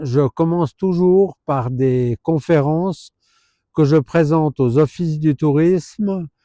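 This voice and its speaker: A man at a very slow pace, his fairly high pitch showing ordinary variation, with a dark, mellow tone, very even loudness and a dry, close sound with no echo. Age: 60s. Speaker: herpetologist. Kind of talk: informal presentation to camera. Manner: hesitant, many filler sounds.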